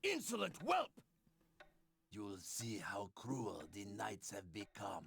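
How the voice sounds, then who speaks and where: In a raspy put-on character voice, a man speaks fairly low and fairly slowly, leaving long, frequent pauses. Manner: haughty, threatening.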